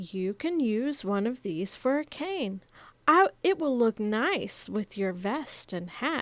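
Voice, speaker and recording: A woman performs a put-on character voice. It sits at a fairly high pitch and moves at a fairly slow pace. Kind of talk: bedtime story. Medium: read story.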